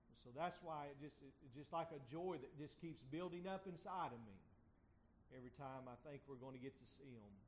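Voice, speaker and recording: A man talks fairly quickly in a normal speaking voice, pitched fairly high. His pitch varies in an ordinary way, but his loudness swings widely. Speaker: church pastor. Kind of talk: church announcements and prayer.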